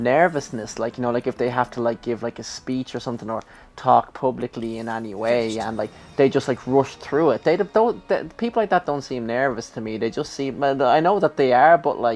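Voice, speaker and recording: The speaker has a Dublin accent and ordinary pitch variation. The pace is fairly quick. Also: man, medium pitch for a man. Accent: Dublin Irish. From Ireland, Dublin. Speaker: gaming YouTuber. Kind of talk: casual chat during let's play.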